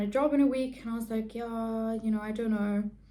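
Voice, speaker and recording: Over noticeable background noise and audible room echo, a woman speaks in a fairly high pitch with fairly even intonation. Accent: South African. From South Africa. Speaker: beauty vlogger. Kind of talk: casual chat.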